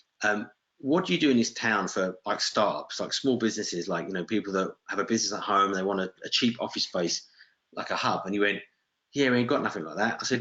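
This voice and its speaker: A man talks at a very fast pace with a British accent. His pitch is fairly low. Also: ordinary pitch variation. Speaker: real estate investor. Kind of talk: webinar talk. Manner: casual, anecdotal.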